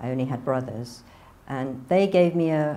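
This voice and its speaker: A woman with a northern English accent speaks in a dark, mellow tone. There is audible room echo. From northern England, near Manchester. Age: 60s. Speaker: convert telling her story. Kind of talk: testimony.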